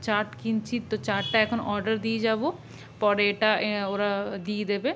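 Light background noise accompanies a woman as she talks. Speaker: vlogger. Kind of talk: casual vlog chat. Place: hall. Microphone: phone near.

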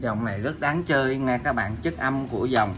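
Here a man speaks at a medium pitch in a fairly bright tone. His pace is fairly slow.

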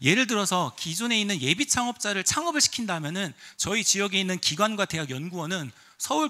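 Against a quiet background, a man speaks very fast in a bright, sharp tone. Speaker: venture capital CEO, conference speaker. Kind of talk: conference presentation. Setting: stage with audience. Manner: formal, explanatory, uses fillers. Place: hall. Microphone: handheld.

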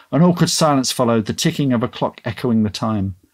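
Someone reads in a natural voice.

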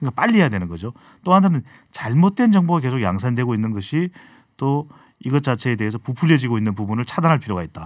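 Against a quiet background, a man talks at a very fast pace. His pitch swings very widely. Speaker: polling analyst. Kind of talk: radio current affairs chat. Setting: studio. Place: studio. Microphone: studio mic.

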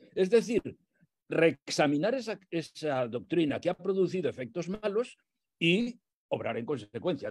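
A man's high-pitched voice with lively intonation against a quiet background. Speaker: theologian and priest; priest. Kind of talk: lecture. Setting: video call. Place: home room. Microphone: earbuds.

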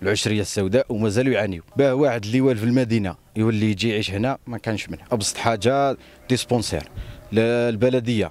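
Someone with an Algerian accent speaks at a fairly quick pace with fairly even intonation, in a dry sound with no echo. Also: man, medium pitch for a man. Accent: Algerian Arabic with French loanwords. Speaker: local resident. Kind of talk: interview. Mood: earnest complaint. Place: open country. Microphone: handheld.

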